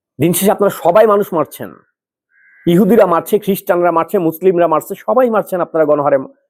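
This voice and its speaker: A man speaks at a high pitch with ordinary pitch variation and very even loudness. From Bangladesh. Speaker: political commentator. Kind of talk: opinion monologue. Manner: impassioned.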